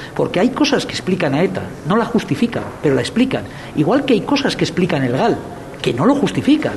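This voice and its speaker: Amid noticeable background noise, a man talks at a very fast pace with a high pitch and very wide pitch swings. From Basque Country, Spain (Rentería). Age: 50s. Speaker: film festival director. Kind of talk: interview.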